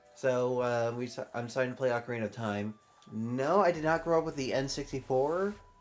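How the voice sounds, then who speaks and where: With music in the background, a man of medium pitch talks at a fairly quick pace with ordinary pitch variation. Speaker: gaming YouTuber. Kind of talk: let's play commentary. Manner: halting, with many fillers; somewhat robotic when reading.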